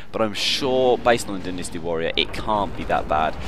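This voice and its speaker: Over noticeable background noise, a man speaks fairly quickly in a fairly low pitch. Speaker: gaming video host. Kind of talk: video game news rundown. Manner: fast.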